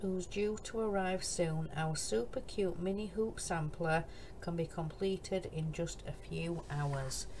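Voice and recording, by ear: A woman with a Yorkshire accent talks at a slow pace, fairly low in pitch and fairly even in intonation.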